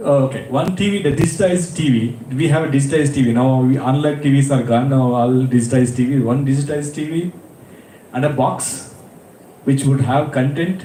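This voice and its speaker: A man speaks at a fairly quick pace with a Karnataka accent, his pitch fairly high and its variation ordinary. Noticeable background noise and audible room echo are present. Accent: Indian English (Kannada). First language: Kannada. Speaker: panel speaker. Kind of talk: panel discussion.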